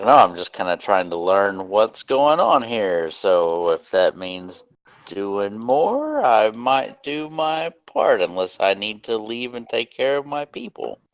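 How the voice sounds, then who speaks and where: Using a put-on character voice at a medium pitch, a man talks fairly slowly with hardly any pauses and lively intonation, in a dry, close sound with no echo. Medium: actual play. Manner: casual, easygoing.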